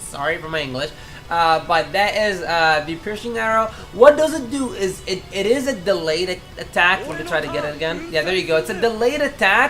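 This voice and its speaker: A woman with a non-native accent speaks at a fairly quick pace and a medium pitch, her pitch swinging very widely, with music in the background and audible room echo. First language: not English. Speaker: gaming YouTuber. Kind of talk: game tutorial. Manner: casual, halting with self-corrections.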